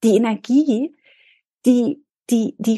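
This woman has a fairly high pitch and ordinary pitch variation. Her tone is dark and mellow, with some breathiness. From Berlin, Germany. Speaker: leadership and resilience coach. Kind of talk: interview.

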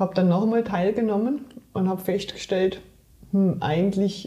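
A woman's medium-pitched, somewhat breathy voice with a dark, mellow tone. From Germany, Saarland. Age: 40s. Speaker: trail runner and sports scientist. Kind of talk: interview.

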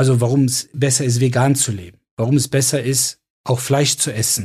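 A somewhat breathy man's voice at a moderate pace, on a very clean recording with a silent background. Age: 40s. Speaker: doctor and podcast co-host. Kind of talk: casual chat.

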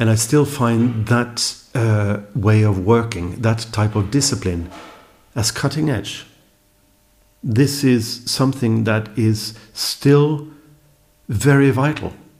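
A somewhat breathy man with a Norwegian accent, medium pitch, ordinary pitch variation and a very slow pace. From Norway. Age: 50s. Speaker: electronic musician and producer. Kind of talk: casual chat. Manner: halting.

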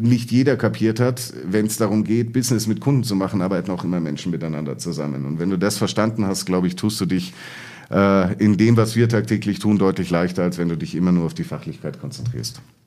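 A man speaks at a fairly quick pace with fairly low pitch and lively intonation, and the room echo is audible. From Munich, Bavaria. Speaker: management consultant. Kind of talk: interview. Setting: studio, in person. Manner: hesitant, many filler sounds.

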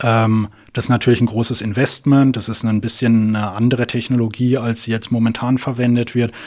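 A man's medium-pitched, monotone voice at a fairly quick pace, on a very clean recording with a silent background. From southern Germany, near Karlsruhe. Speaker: physics PhD student and startup founder. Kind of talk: interview. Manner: hesitant, many fillers.

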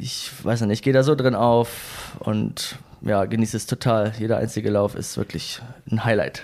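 A man speaks at a medium pitch. He has a plain, everyday voice. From northern Germany. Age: 20s. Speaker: running community leader and event organizer. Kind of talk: casual interview.

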